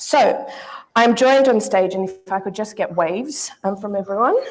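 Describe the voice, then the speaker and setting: Speaking in an Australian accent, a woman keeps a moderate pace. Her medium-pitched voice shows ordinary pitch variation. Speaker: panel moderator. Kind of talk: conference panel moderation. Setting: stage with audience. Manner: formal.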